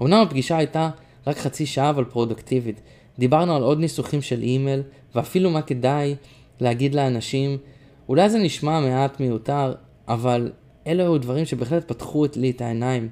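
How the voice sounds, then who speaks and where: With a dark, mellow tone, a man speaks at a fairly high pitch and a moderate pace, using ordinary pitch variation and long, frequent pauses. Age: 20s. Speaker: musician, coaching client. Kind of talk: personal diary reading.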